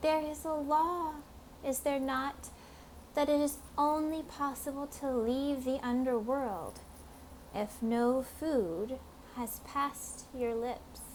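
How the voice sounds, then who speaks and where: Putting on a character voice, a woman speaks high and fairly slowly against clear background noise. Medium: read story. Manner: smooth, coaxing.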